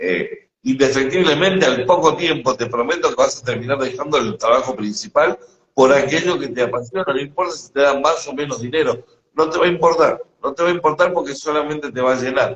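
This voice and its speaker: A man with a fairly high pitch speaks at a fairly quick pace with ordinary pitch variation. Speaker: spiritual teacher. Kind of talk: casual conversation. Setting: live stream.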